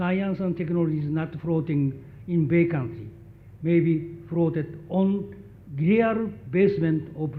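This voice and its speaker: A man's high voice at a fairly slow pace. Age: 80s+. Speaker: graduation speaker, professor emeritus. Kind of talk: commencement speech. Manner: halting.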